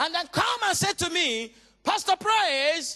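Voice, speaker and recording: In a raised, projected voice with a bright, sharp tone, a man speaks at an extremely high pitch and a fairly slow pace with lively intonation, recorded dry and close with no echo. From Nigeria. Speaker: pastor. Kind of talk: sermon. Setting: church.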